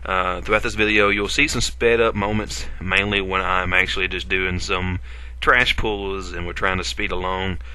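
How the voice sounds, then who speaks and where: With an Appalachian accent, a man speaks at a moderate pace in a very deep, low pitch, his bright, sharp tone carrying vocal fry and lively intonation amid audible room echo. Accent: Appalachian, self-described. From Appalachia, US. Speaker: gaming video creator. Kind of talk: gameplay commentary. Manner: casual, hesitant with fillers.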